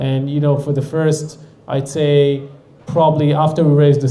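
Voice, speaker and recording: The speaker has an Israeli accent and a monotone, flat intonation. The pace is moderate, and room echo is audible. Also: man. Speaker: startup founder and CEO. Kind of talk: audience Q&A talk. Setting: stage with audience.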